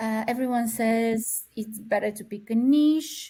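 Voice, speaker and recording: The voice is somewhat breathy and dark and mellow in tone, moving at a fairly slow pace on a very clean recording with a silent background. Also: woman. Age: 40s. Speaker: therapist. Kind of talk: interview.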